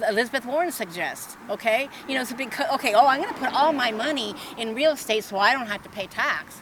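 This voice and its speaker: A woman speaks at a very fast pace with a high pitch and hardly any pauses, over noticeable background noise. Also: lively intonation. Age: 70s. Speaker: protester. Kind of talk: heated debate. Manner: halting.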